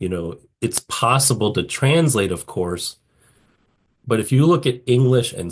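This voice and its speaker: Against a quiet background, a man with a somewhat breathy, medium-pitched voice talks at a fairly slow pace with lively intonation. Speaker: patent attorney lecturer. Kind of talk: lecture. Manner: halting, many restarts and fillers.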